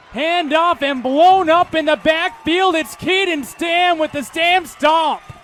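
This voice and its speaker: A man talks fairly slowly while noticeable noise sounds in the background. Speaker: play-by-play announcer. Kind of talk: football play-by-play commentary. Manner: high-energy, smooth pacing.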